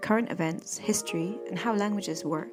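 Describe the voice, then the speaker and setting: Music plays in the background. A woman with a Scottish accent talks at a fairly quick pace. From Scotland. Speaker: English teacher, podcast host. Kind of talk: podcast intro.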